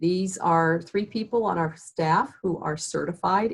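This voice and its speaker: A woman's somewhat breathy, fairly low voice at a moderate pace, with ordinary pitch variation. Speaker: workforce training instructor. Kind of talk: webinar presentation. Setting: video call webinar.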